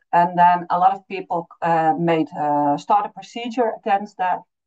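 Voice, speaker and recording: The speaker has a Dutch accent. The intonation is lively. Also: woman. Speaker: refugee support consultant. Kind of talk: webinar presentation. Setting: online webinar. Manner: halting, many fillers.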